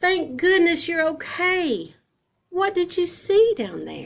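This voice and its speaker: Squeaky and put on as a character voice, this one moves at a fairly slow pace with ordinary pitch variation. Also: woman, extremely high pitch for a woman. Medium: read story.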